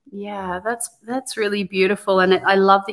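Her speech shows fairly even intonation in a plain, everyday voice, as this woman talks at a medium pitch. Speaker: podcast co-host, women's ministry teacher. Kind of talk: casual faith discussion, Bible study.

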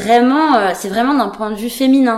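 A woman speaks, and audible echo from the room hangs around her words. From France and Denmark. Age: 30s. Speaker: painter. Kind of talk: casual chat. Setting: artist's studio. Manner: halting.

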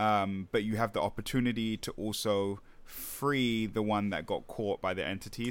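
In a very clean recording with a silent background, a man with a normal speaking voice and a fairly low pitch speaks at a moderate pace with ordinary pitch variation. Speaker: podcast host. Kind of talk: casual chat.

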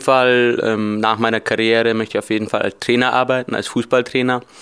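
The man keeps a moderate pace. His intonation is flat and monotone. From Bavaria, Germany. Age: 20s. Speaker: deaf footballer and coaching student. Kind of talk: interview. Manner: hesitant, many fillers.

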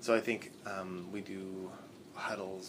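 A man talks with a very deep, low pitch and monotone, flat intonation. Noticeable background noise and audible room echo fill the recording. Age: 30s. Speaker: business founder. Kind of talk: interview. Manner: halting.

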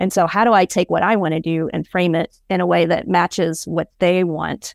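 Speaking in an American accent, a woman uses a fairly low pitch, vocal fry and a moderate pace. The recording is very clean with a silent background and a dry, close sound with no echo. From Alabama, US South. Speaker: graphic designer and design leader. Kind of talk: interview.

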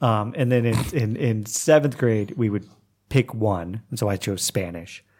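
On a very clean recording with a silent background, a man with an Oklahoma accent talks in a fairly low voice with ordinary pitch variation. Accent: Oklahoma American English. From US, Oklahoma. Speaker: English teacher and writer. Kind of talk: casual chat.

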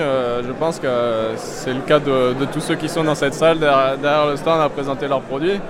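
A man's fairly high voice, with fairly even intonation, comes through audible room echo and noticeable background noise. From southern Burgundy, France. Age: 20s. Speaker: winemaker. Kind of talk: casual interview. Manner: hesitant, many fillers.

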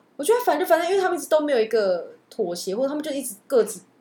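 A very fast pace against noticeable background noise. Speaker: podcast co-host. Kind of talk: casual chat.

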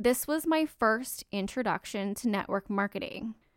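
A woman with a Canadian accent speaks in an ordinary speaking voice at a moderate pace, her pitch fairly high and her intonation lively. The recording is very clean with a silent background and a dry, close sound with no echo. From Canada. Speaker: network marketer and podcast host. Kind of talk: solo podcast monologue.

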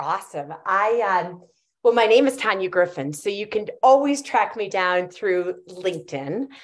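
A woman with a normal speaking voice at medium pitch talks at a fairly slow pace with lively intonation against a quiet background. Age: 50s. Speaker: cannabis entrepreneur and CEO. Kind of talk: podcast interview.

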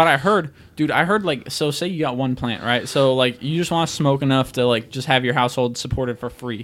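A man with a fairly high pitch, at a fairly quick pace with hardly any pauses, and ordinary pitch variation. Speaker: guest co-host of sports podcast. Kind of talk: casual chat, profane banter. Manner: casual, interrupting, animated.

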